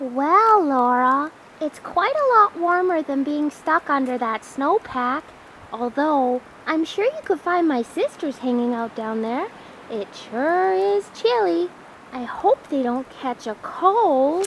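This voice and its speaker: A put-on character voice, female-sounding and high-pitched, comes at a fairly slow pace. Clear background noise sits behind it. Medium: comedy sketch.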